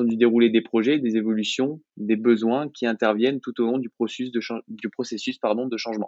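An ordinary speaking voice at a fairly quick pace. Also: man. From France, Clermont-Ferrand. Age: 20s. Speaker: business school graduate. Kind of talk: interview.

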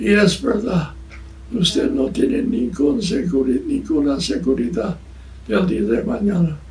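A man's high voice at a very slow pace, with long, frequent pauses, very wide pitch swings, very even loudness and audible room echo. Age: 90s. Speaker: missionary preacher. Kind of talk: sermon. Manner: halting.

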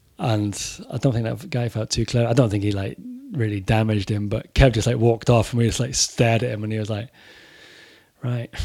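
A man's medium-pitched voice, dark and mellow in tone, at a fairly quick pace with fairly even intonation and long, frequent pauses. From Corby, England. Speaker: author and former touring metal musician. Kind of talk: casual podcast chat. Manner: casual, swearing.

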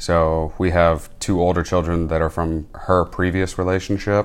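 On a very clean recording with a silent background, a man with an American accent speaks at a very deep, low pitch in a monotone, flat intonation. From Michigan. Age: 20s. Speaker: military chaplain's assistant. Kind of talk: casual interview. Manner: hesitant, many fillers.

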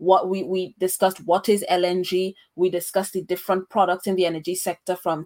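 This is an ordinary speaking voice from a woman, medium in pitch and at a fairly quick pace. The sound is dry and close, with no echo. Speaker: podcast host. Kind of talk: interview on a podcast. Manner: fluent, with frequent fillers.

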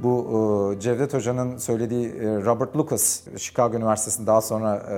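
With music in the background, a man speaks at medium pitch and a moderate pace, his intonation fairly even. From Turkey, Bursa (Karacabey). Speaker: economics professor. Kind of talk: interview storytelling.

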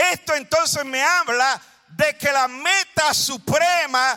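The voice is raised and projected, bright and sharp, with an animated tone and a Puerto Rican accent. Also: man. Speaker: preacher. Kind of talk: sermon. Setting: church with congregation.

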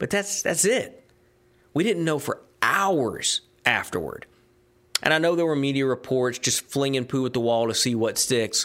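A man with a fairly high pitch talks at a moderate pace in a Southern US accent. His intonation is lively and his loudness very even. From US South (Georgia, Tennessee). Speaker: sports podcast host, former sports radio host. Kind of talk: solo podcast monologue. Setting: studio.

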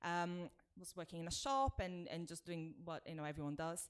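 In a Brazilian accent, the speaker moves at a fairly quick pace with ordinary pitch variation. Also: woman. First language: Portuguese. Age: 40s. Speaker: TV creative executive. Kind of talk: interview. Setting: video call.

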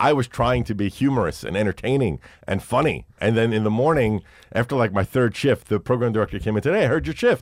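Very fast and in a New York accent, a man speaks at a medium pitch on a very clean recording with a silent background and a dry, close sound with no echo. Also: ordinary pitch variation. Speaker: radio host and podcaster. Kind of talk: casual chat. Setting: studio.

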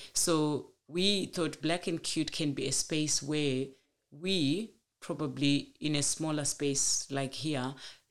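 Fairly even intonation in a Zimbabwean accent. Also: woman. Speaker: teacher and community organiser. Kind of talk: personal story interview.

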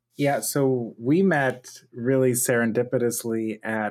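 Fairly even intonation marks a man speaking in a normal speaking voice at medium pitch. The recording is very clean, with a silent background. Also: dry, close sound with no echo. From US, Pittsburgh, Pennsylvania. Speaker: multimedia artist and engineer. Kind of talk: interview conversation.

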